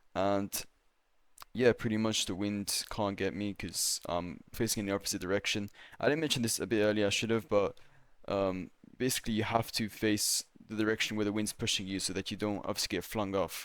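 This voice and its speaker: Mumbling at a fairly quick pace, a man keeps his intonation fairly even. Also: fairly low pitch for a man. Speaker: gaming youtuber. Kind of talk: game tutorial voiceover. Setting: voiceover recorded while playing. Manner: mumbling, pausing; casual, hesitant.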